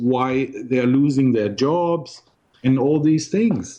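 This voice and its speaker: A man speaks at a very slow pace in a German-speaking European accent. His pitch sits in the medium range. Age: 60s. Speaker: ex-investment banker and blogger. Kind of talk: interview. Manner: halting, with frequent repetitions.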